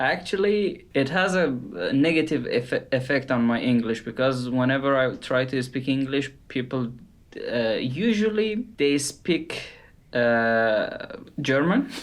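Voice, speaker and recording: With a non-native accent, a man talks at a fairly slow pace in a fairly high pitch, his intonation lively and his loudness very even. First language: not English. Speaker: podcast co-host, artist. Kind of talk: casual chat.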